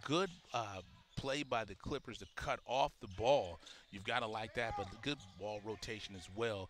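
Speaking at a fairly slow pace, a man with an unremarkable speaking voice and fairly low pitch shows ordinary pitch variation and big swings in loudness. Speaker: basketball commentator. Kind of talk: live sports commentary. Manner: analytical, explaining coaching and strategy between calls.

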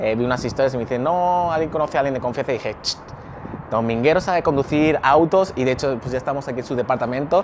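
A man talking at a very fast pace with ordinary pitch variation over noticeable background noise. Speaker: vlogger. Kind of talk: casual vlog chat. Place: street. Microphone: lapel.

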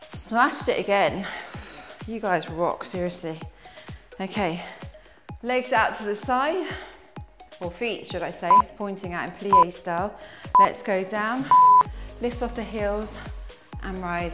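Over loud background music, a woman speaks at a fairly slow pace with ordinary pitch variation and long, frequent pauses. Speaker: fitness instructor. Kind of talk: workout instruction. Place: empty room.

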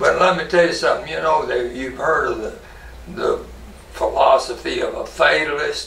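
Light background noise and audible room echo accompany a man talking with a Kentucky accent. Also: moderate pace. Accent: US Southern (Kentucky). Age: 90s. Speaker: war veteran. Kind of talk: oral history interview. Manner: halting. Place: office.

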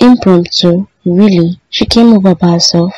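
A female-sounding, put-on character voice speaks at a moderate pace with a medium pitch. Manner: annoyed, irritated.

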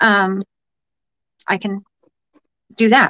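Her tone is bright and sharp. The woman keeps a fairly even intonation. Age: 30s. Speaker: live streamer. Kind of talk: casual livestream chat to viewers; casual vlog chat. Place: home room. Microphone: phone near.

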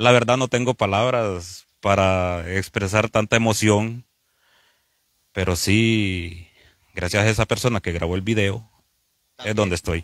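A man's fairly low voice at a fairly slow pace, fairly even in intonation and broken by long, frequent pauses, with a dry, close sound, no echo, and a very clean recording over a silent background. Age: 40s. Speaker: truck driver. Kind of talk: interview. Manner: halting.

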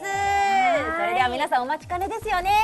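Woman talking at a very fast pace over loud background noise. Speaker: voice actor. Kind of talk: web radio show hosting. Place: studio. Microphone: lapel.

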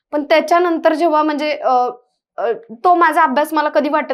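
Against a quiet background, a woman speaks. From Maharashtra, Mhaswad (Satara district, rural drought belt); Maharashtra. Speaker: civil service exam topper, government officer; guest. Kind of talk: interview. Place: studio. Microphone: lapel.

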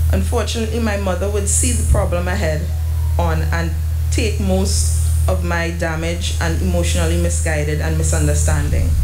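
Music plays in the background as the speaker goes at a moderate pace. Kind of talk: funeral tribute reading. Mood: emotional, somber. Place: church. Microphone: podium.

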